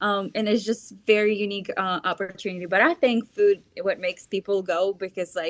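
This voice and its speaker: A woman with a Russian accent at a medium pitch, fairly quick with hardly any pauses, fairly even intonation, and a dry, close sound with no echo. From Belarus. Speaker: festival organizer. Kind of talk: interview.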